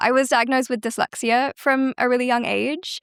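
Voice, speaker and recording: The woman is heard on a very clean recording with a silent background, the sound dry and close with no echo. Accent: British. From southern England, West Sussex. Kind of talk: interview chat.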